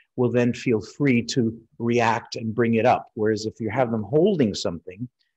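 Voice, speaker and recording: A man has a plain, everyday voice at medium pitch and a moderate pace. The sound is dry and close with no echo, over a quiet background. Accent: American. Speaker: refractive eye surgeon and lecturer. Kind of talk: webinar lecture. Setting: online webinar. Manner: frequent fillers and repetitions.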